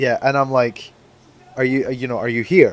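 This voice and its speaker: Speaking with a Scottish accent, a man keeps a medium pitch and fairly even intonation. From Scotland. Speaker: podcast co-host. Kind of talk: casual chat. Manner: halting, stammering.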